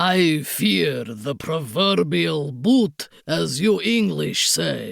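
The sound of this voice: A woman's put-on character voice with a strong Eastern European accent, low-pitched, with vocal fry, a very slow pace and lively intonation. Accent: thick mock Eastern European.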